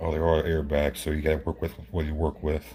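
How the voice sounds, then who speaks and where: There is music in the background. The man's pitch is very deep and low. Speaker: model truck builder. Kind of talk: casual show-and-tell video. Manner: halting, repetitive.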